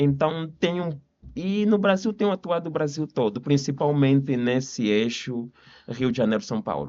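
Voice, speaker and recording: A man with an Angolan accent, a fairly high pitch, lively intonation and a moderate pace. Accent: Angolan Portuguese accent, still noticeable. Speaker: lawyer. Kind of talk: podcast interview.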